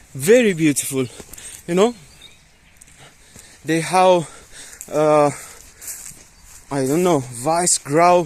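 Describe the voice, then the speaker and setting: Speech comes at a very slow pace with long, frequent pauses and ordinary pitch variation over noticeable background noise. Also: man. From Afghanistan. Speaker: student vlogger. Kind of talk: casual vlog narration. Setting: outdoors. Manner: animated.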